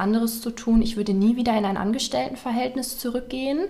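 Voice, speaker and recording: Fairly high in pitch, this woman keeps her intonation fairly even. Behind her, background noise is noticeable. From Ruhr area, western Germany (Waltrop). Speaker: beauty salon owner. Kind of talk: casual interview. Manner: hesitant, many fillers.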